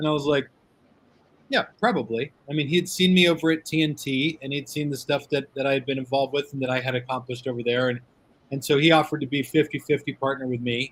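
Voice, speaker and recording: Speaking at a very fast pace, a man with a fairly high pitch sounds somewhat breathy and keeps a fairly even intonation. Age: 40s. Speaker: cigar media owner. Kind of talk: casual interview chat.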